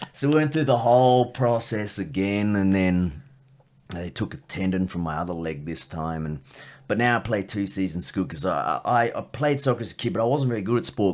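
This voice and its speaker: Speaking with an Australian accent at a very deep, low pitch, a man uses lively intonation and a fairly quick pace in a very clean recording with a silent background. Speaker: comedian. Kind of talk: casual chat.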